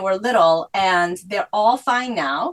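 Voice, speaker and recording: A woman talks with a Korean accent. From South Korea, moved to US at eleven. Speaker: author. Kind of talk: interview.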